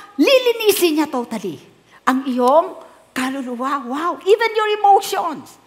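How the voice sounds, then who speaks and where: Over noticeable background noise, a woman speaks at a very slow pace. Her pitch swings very widely. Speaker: pastor. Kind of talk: sermon.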